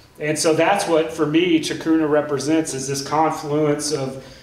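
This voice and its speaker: Amid audible room echo, a man talks at a moderate pace with monotone, flat intonation. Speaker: panelist. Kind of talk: panel talk. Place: stage.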